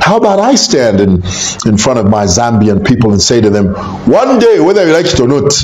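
Pitch swings very widely in this man's fairly high voice. There is audible room echo and light background noise. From Zambia. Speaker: YouTuber commentator on Zambian politics. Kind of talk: casual video commentary. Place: home room.

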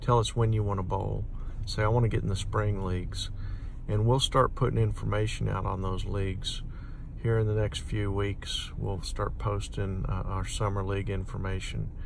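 A man with vocal fry speaks at a fairly low pitch with little pitch movement. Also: moderate pace.

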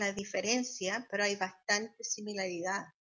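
A woman talks at a fairly slow pace against a quiet background. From Chile. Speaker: social worker and health interpreter. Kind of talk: interview answer. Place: home room. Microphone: video call.

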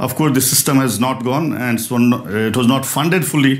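A man speaks with an Indian accent. His intonation stays fairly even. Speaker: physicist and research director. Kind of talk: lecture. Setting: stage with audience. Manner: fast. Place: hall. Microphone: lapel.

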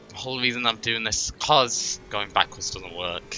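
Man's voice with ordinary pitch variation, music in the background. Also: medium pitch for a man, fairly quick pace. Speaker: streamer. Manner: frustrated, venting.

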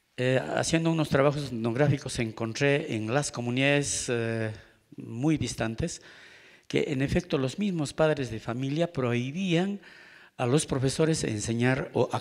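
The background stays quiet. A man talks fairly slowly, with ordinary pitch variation. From Peru. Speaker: speaker. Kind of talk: panel talk. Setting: forum with audience. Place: hall. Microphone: handheld.

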